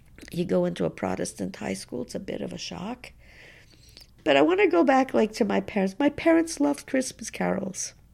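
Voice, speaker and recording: Moving at a fairly quick pace, a woman talks with a Montreal accent. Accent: Montreal English (Canadian). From Montreal, Quebec. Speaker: activist. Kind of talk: interview. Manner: halting.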